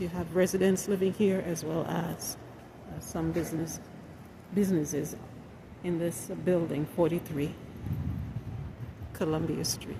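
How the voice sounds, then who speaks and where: A woman's fairly low voice at a fairly slow pace, with fairly even intonation, long, frequent pauses and audible room echo. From Jamaica, moved to US at six. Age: 60s. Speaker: self-employed design consultant and vlogger. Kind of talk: casual vlog monologue. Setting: outdoors then building lobby.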